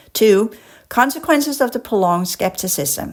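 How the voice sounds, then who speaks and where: A woman with a Danish accent speaks at a medium pitch and a moderate pace. Her tone is animated, with lively intonation. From Denmark. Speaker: podcast host and spiritual educator. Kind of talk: casual monologue; reading aloud with commentary. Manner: occasionally halting over complex words.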